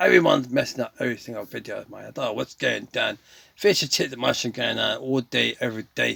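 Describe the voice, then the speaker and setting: Talking at a fairly quick pace, a man speaks in a British accent. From England. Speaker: gaming streamer. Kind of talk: casual gameplay commentary with monologue.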